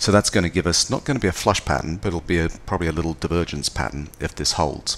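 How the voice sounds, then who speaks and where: Speaking at a very fast pace, a man with a very deep, low pitch and vocal fry shows ordinary pitch variation. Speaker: trading educator. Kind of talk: tutorial. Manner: hesitant, many fillers.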